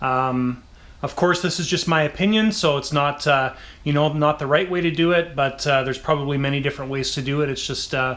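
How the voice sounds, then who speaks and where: A man speaks in an ordinary speaking voice at a fairly quick pace. His pitch is fairly high, with fairly even intonation. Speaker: RC model builder and channel host. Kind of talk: tutorial. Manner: casual with frequent fillers.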